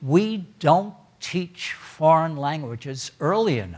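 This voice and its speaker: With an American accent, a man talks in a fairly high pitch and lively intonation. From Germany, then New York City. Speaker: Holocaust survivor and retired educator. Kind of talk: testimony talk with Q&A.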